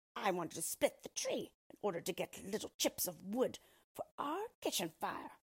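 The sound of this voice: Putting on a character voice, a woman speaks at a moderate pace and medium pitch with big pitch swings and a husky, rough edge.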